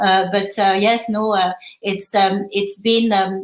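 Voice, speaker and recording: A woman speaks in a French accent at a medium pitch and a fairly slow pace. Her intonation is monotone and flat. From France. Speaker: fintech education co-founder. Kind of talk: panel discussion. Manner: halting, many fillers.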